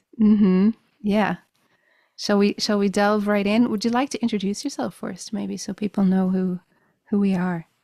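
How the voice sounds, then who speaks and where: A woman's dark, mellow voice with a Dublin accent, medium in pitch and fairly even in intonation, in a dry, close sound with no echo. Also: moderate pace. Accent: Dublin Irish. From Ireland, Dublin. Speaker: musician. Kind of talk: casual chat.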